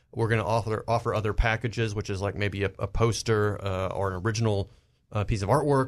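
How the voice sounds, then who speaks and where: An ordinary speaking voice with an American accent comes through at a fairly quick pace, its intonation fairly even. The background is quiet. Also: man. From US South. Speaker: pop culture panelist. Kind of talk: casual panel discussion.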